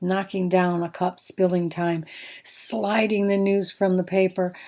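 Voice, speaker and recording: A woman with an American accent speaks at a fairly slow pace in a medium pitch, her dark, mellow tone and fairly even intonation captured in a very clean recording with a silent background. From American Midwest. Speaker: poet. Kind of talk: poetry reading.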